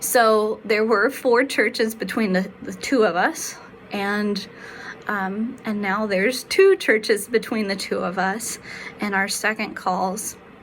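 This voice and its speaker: A woman with an American accent speaks at a very slow pace in a medium pitch with fairly even intonation, and noticeable background noise can be heard. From South Carolina. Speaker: pastor. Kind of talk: devotional reflection. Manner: halting, many fillers.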